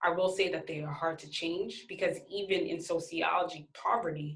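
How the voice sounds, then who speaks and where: A woman speaks at a moderate pace with vocal fry. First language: not English. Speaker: sociology instructor. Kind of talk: recorded lecture. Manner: halting, self-described stuttering.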